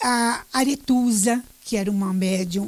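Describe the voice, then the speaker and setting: A woman's fairly high, somewhat breathy voice with a dark, mellow tone and ordinary pitch variation. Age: 70s. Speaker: retired journalist and teacher. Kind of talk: interview. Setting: radio.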